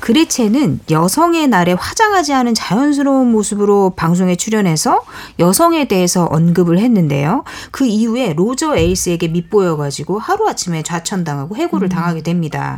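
Noticeable background noise sits under a woman's medium-pitched voice. She talks at a fairly quick pace with very wide pitch swings. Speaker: writer. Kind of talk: radio talk show discussion. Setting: studio.

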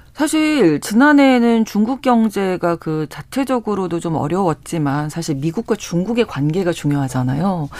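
A man with a high-pitched voice speaks with hardly any pauses, his pitch swinging very widely. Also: moderate pace. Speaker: radio announcer. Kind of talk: radio news talk show. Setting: studio.

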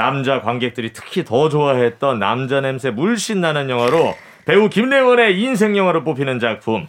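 In an energetic tone, a man with a fairly high voice talks at a moderate pace with very wide pitch swings. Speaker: actor, quiz co-presenter. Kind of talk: radio quiz segment.

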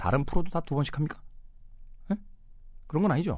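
A man talks with vocal fry. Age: middle-aged. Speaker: radio host. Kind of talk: casual radio monologue.

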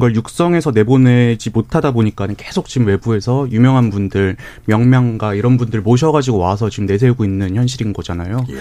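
A man talks with ordinary pitch variation and a medium pitch. It is a plain, everyday voice, delivered at a fairly quick pace. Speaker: youth political group leader. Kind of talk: radio panel debate. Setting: radio studio.

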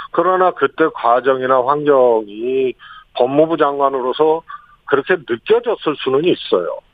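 An ordinary speaking voice, this man's is fairly high in pitch, with ordinary pitch variation, very even loudness and a fairly slow pace. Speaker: former senior presidential aide. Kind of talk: radio interview. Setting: phone call. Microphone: phone line.

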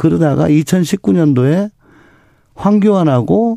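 Very wide pitch swings run through a man's dark, mellow tone. He goes at a fairly slow pace on a very clean recording with a silent background. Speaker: politician. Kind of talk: political interview.

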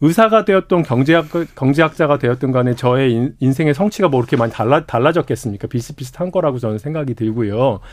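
At a very fast pace, a man with a medium pitch talks using lively intonation. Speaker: economics professor, former doctor. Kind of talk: radio interview. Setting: studio.

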